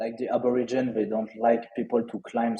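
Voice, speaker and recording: A man with a strong French accent speaks in a dark, mellow tone. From France, Lyon. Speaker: NFT trader and entrepreneur. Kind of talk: casual interview chat. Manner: halting, many repetitions and fillers.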